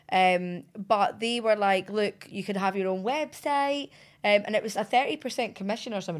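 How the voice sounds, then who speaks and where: Speaking with a Scottish accent, a woman at medium pitch talks at a moderate pace with lively intonation. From Scotland. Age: 20s. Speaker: reality TV personality. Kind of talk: interview.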